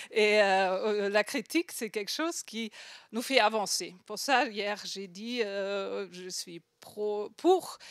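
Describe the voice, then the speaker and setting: A woman with a strong non-native accent, at a very slow pace, with ordinary pitch variation and big swings in loudness, on a very clean recording with a silent background. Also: medium pitch for a woman. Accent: strong foreign accent in French. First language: not French (speaking French). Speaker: design researcher, conference speaker. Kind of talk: conference talk. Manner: halting, many fillers and repetitions.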